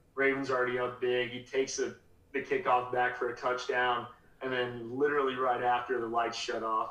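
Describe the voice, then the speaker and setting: In an American accent, a man speaks at a medium pitch and a fairly quick pace. His intonation stays flat and monotone, and the room echo is audible. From Colorado. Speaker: minor league baseball sales executive. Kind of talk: casual chat.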